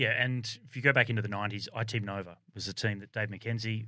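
In an Australian accent, a man speaks at a very fast pace with a medium pitch and a bright, sharp tone. His intonation is monotone and flat, and the recording is very clean with a silent background. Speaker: former Olympic cyclist and cycling commentator. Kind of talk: casual chat. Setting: studio.

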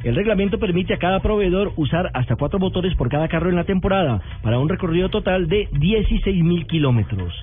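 Music plays in the background as the speaker moves along at a fairly quick pace. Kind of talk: formal newsreading, brisk bulletin delivery of sports and motoring news. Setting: radio studio. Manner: formal, crisp and clearly enunciated.

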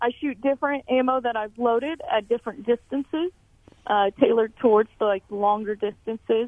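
A woman with an American accent has an unremarkable speaking voice, fairly high in pitch, with ordinary pitch variation and a fairly quick pace. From Emporia, Kansas. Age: 20s. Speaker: competition shooter. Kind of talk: radio interview.

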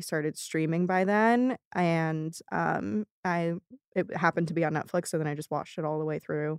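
A woman speaks at a moderate pace in a plain, everyday voice. The recording is very clean with a silent background, dry and close with no echo. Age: 20s. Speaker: writer and director, podcast creator. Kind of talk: casual interview.

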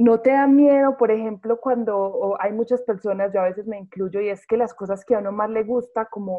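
This woman has a plain, everyday voice, pitched at a medium level and moving at a moderate pace. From provincial Colombia. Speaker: radio host. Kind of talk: radio interview.

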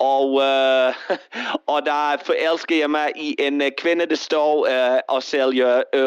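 A man talks with an English accent and fairly even intonation. The background is quiet. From Australia. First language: English (speaking Danish). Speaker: caller. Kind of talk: call-in chat.

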